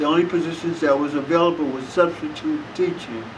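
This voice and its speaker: Against noticeable background noise and audible room echo, a man with an American accent speaks at a moderate pace, fairly high in pitch with fairly even intonation. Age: 70s. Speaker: war veteran. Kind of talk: interview. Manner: halting.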